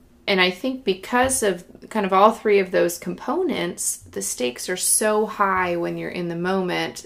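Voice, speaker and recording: With an American accent, a woman uses an ordinary speaking voice at a medium pitch, moderate pace and ordinary pitch variation. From Northern California (Granite Bay). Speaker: pageant queen and model. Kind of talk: casual chat. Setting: studio.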